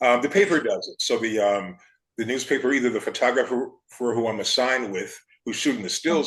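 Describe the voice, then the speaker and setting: With an American accent and a normal speaking voice, a man talks at a fairly quick pace at medium pitch, using ordinary pitch variation. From Chicago South Side. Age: 60s. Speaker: architecture critic. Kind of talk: casual chat.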